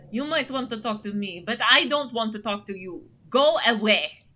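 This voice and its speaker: A woman's put-on character voice, hissing and fairly high in pitch, at a moderate pace. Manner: hissing, snippy.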